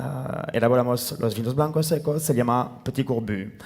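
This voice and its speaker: A man with a French accent and fairly even intonation. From France, near Tarbes. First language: French (speaking Spanish). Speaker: winemaker. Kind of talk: panel talk. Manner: halting, many fillers.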